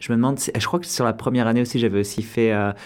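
A man's voice at a medium pitch. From France, Orléans. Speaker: actor and improviser. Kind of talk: interview. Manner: halting, many hesitations.

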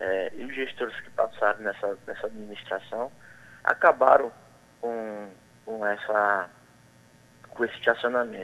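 Long, frequent pauses break up a man's fairly slow speech, which has a medium pitch, fairly even intonation and big swings in loudness. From Bayeux, Paraíba, Brazil. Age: 30s. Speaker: mayoral candidate. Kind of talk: radio interview.

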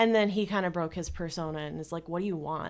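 Recorded very cleanly against a silent background, a woman with a plain, everyday voice speaks at medium pitch with fairly even intonation. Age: 20s. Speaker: university student. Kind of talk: interview testimony. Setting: studio.

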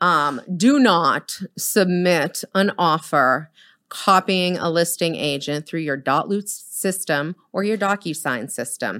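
With an American accent and a bright, sharp tone, a woman speaks very slowly at a fairly low pitch, with lively intonation and hardly any pauses, on a very clean recording with a silent background. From Boston. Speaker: realtor and team leader. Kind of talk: casual interview.

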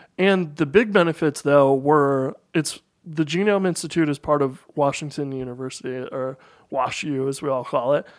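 A man with a normal speaking voice, a fairly high pitch, ordinary pitch variation and a moderate pace, in a very clean recording with a silent background. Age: 30s. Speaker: computer programmer and entrepreneur. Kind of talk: casual interview conversation.

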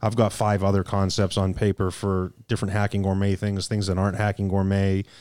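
A man talks at a fairly quick pace with a fairly low pitch and monotone, flat intonation. The recording is very clean, with a silent background. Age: 30s. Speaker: cigar company sales executive. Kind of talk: casual chat. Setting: studio.

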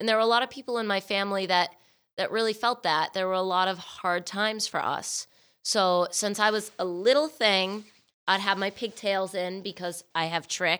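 A bright, sharp tone carries speech delivered at a moderate pace. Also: woman, medium pitch for a woman. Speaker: artist and musician. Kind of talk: casual chat. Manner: animated.

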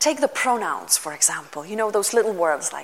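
With a Lithuanian accent, a woman speaks at a medium pitch in a bright, sharp tone. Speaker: pastor. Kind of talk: sermon.

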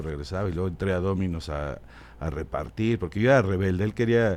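This man's voice is very deep and low, with a dark, mellow tone. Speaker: comedy writer and businessman. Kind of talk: casual interview storytelling. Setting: studio.

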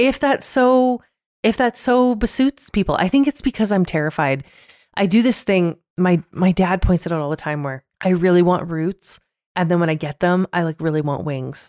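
Her fairly low voice moves through very wide pitch swings at a moderate pace. The woman's recording is very clean and silent in the background, with a dry, close sound and no echo. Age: 30s. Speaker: podcast co-host. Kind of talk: casual chat. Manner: animated.

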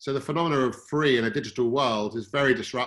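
A man speaks with a British accent. His pace is fairly quick and his pitch variation ordinary. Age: 40s. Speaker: fund manager. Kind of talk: interview. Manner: halting.

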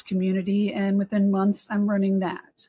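A woman speaks at a moderate pace with an American accent, her voice somewhat breathy. The sound is dry and close, with no echo. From Texas. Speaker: research operations community leader. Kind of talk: casual chat.

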